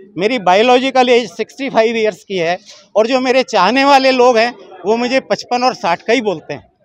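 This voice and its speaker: This man's voice sits at an extremely high pitch. He speaks at a moderate pace with ordinary pitch variation. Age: 70s. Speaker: matrimonial event participant. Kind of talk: on-the-spot interview.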